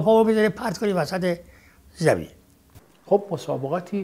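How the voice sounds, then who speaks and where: A man speaks with lively intonation. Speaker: eyewitness of old Tehran football. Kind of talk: reminiscence interview.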